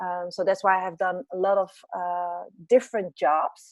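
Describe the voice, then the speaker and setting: Against a quiet background, a woman is heard with a dry, close sound and no echo. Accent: Dutch. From Netherlands. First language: Dutch. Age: 40s. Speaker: business and life coach. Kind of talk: interview.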